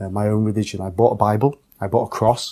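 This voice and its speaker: On a very clean recording with a silent background, a man talks fairly quickly in a fairly low, dark, mellow voice with monotone, flat intonation. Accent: English. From England. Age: 30s. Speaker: convert to Islam. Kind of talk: testimony. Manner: halting.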